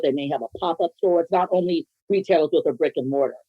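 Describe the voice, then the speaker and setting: A woman with an unremarkable speaking voice talks at a fairly quick pace, her pitch fairly low with ordinary variation. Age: 60s. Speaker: business owner. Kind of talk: interview.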